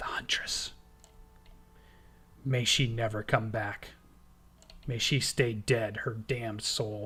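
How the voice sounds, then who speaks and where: A man's raspy, whispered put-on character voice at a fairly slow pace. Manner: whispering, fearful.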